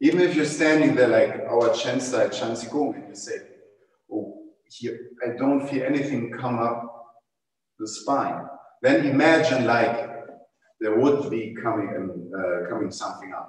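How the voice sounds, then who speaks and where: A man speaks at a moderate pace with a medium pitch and ordinary pitch variation, his loudness swinging widely. Long, frequent pauses break up his speech, and the room echo is audible. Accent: German. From Germany. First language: German. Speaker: tai chi teacher. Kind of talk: panel discussion. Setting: livestream video call. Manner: halting.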